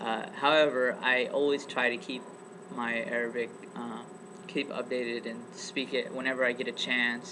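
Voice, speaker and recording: Over noticeable background noise, a man with an American accent speaks at a moderate pace and medium pitch with ordinary pitch variation. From US, East Bay California. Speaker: student. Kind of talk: casual interview for class project.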